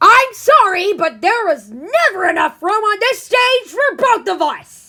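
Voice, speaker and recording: A loud put-on character voice from a woman, extremely high in pitch, at a fairly slow pace. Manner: loud, confrontational.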